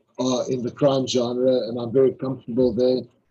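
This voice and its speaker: A man with a South African accent speaks in a dark, mellow tone that is somewhat breathy. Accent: South African (Afrikaans) English. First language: Afrikaans. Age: 60s. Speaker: crime novelist. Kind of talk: interview. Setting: live online interview. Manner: halting, with frequent repetitions.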